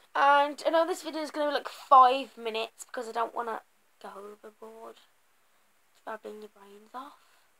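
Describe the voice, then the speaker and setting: At a moderate pace, a woman with a high pitch and a bright, sharp tone shows big swings in loudness and ordinary pitch variation. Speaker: vlogger. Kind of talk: casual vlog chat. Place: home room. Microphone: webcam.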